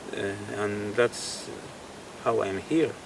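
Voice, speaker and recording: Noticeable background noise accompanies a man speaking with a Spanish accent. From Spain. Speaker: guitarist and painter. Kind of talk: interview. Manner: halting, with many fillers and repetitions.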